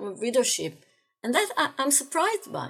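A woman with an Israeli accent speaks at a moderate pace in a high voice, with music playing behind her. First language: Hebrew. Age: 60s. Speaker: philosophy lecturer. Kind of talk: interview. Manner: halting, frequent repetitions.

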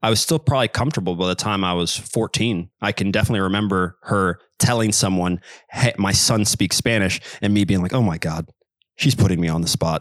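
A man with an American accent speaks at a fairly quick pace in a fairly low pitch with ordinary pitch variation, on a very clean recording with a silent background and a dry, close sound with no echo. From US Midwest, Kansas City. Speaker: professional footballer and polyglot. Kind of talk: interview.

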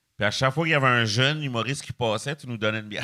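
This man's tone is bright and sharp, in a very clean recording with a silent background. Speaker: comedian. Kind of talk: casual chat.

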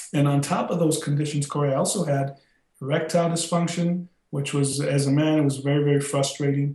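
Fairly high in pitch, a man with an American accent speaks at a fairly quick pace in a monotone, flat intonation, his loudness very even. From South Texas, then Chicago from high school. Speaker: former college football player, plant-based health advocate. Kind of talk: interview.

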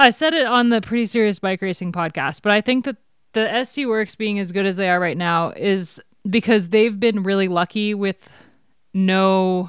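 A woman speaks in an ordinary speaking voice at a medium pitch, with ordinary pitch variation. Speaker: podcast host. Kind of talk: casual chat.

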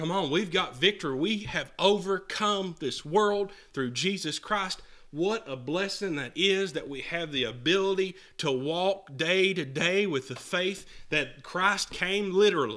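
A man's raised, projected voice, high-pitched with a bright, sharp tone and ordinary pitch variation, moves at a fairly slow pace on a very clean recording with a silent background. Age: 20s. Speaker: pastor. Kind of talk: sermon. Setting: church.

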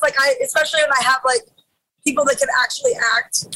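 A woman speaks at a very fast pace in a raised, projected voice, her bright, sharp tone extremely high in pitch with very wide pitch swings. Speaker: rock singer and musician. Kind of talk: casual interview chat. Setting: on a tour bus, on the road.

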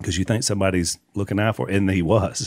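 A man speaks with a Southern US accent. His pitch is fairly low. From Louisiana. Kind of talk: casual chat with testimony.

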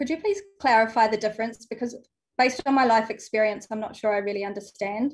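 A woman with a New Zealand accent and a fairly high pitch speaks at a very fast pace, somewhat breathy and with fairly even intonation, over a quiet background. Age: 30s. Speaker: former school teacher. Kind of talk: call-in conversation.

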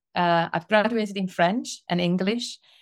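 In a very clean recording with a silent background, a woman speaks at a moderate pace. Her intonation is fairly even. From Italy. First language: Italian. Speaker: sales enablement consultant. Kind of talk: podcast interview.

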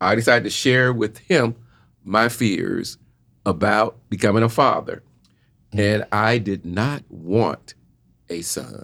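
A man with a Southern US accent and fairly low pitch, at a fairly slow pace with long, frequent pauses and ordinary pitch variation. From Jacksonville, Florida, US South. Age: 60s. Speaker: podcast guest. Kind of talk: casual chat.

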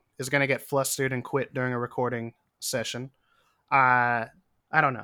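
The voice has a bright, sharp tone and an American accent, on a very clean recording with a silent background. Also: man. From US, western Pennsylvania. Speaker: musician. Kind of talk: casual chat.

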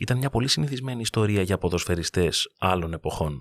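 Recorded very cleanly with a silent background and a dry, close sound with no echo, a man uses a normal speaking voice with a fairly low pitch and ordinary pitch variation. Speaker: sports podcast host. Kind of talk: narrated monologue.

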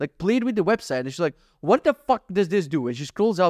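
A man speaks at a very fast pace, high-pitched with very wide pitch swings. The recording is very clean and dry, close with no echo and a silent background. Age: 30s. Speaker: podcaster. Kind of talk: casual monologue. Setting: home office.

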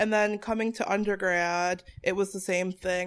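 Speaking at a fairly quick pace, a woman with an American accent uses a normal speaking voice at a medium pitch. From Connecticut. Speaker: activist and academic. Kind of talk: interview.

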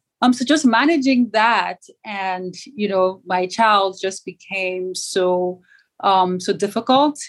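A woman with a Yoruba accent at a medium pitch, very slow pace and ordinary pitch variation, on a very clean recording with a silent background. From Nigeria. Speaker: startup founder. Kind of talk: interview.

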